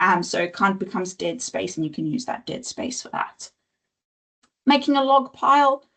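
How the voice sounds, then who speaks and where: A woman speaks at a moderate pace with a fairly high voice and vocal fry. Her pitch swings very widely, and her loudness rises and falls in big swings. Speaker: nature education presenter. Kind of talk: webinar presentation.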